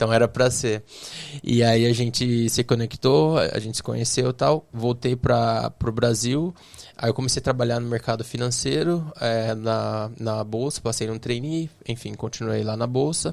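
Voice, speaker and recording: A man talks at a fairly slow pace, his medium pitch showing ordinary pitch variation. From Brazil, interior of São Paulo state (Bauru). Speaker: tech entrepreneur. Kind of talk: podcast interview. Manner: hesitant, many fillers.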